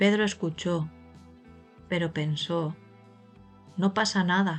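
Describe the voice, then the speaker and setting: A woman's calm, very slow voice at a fairly low pitch, flat and monotone in intonation, with music in the background. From Spain. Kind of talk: slow story reading for language learners. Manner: slow, calm, clear.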